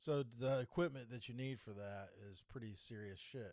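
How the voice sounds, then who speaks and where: This man speaks with a Southern US accent and ordinary pitch variation. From North Carolina, US South. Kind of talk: casual political podcast talk to camera. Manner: casual, hesitant, with many fillers.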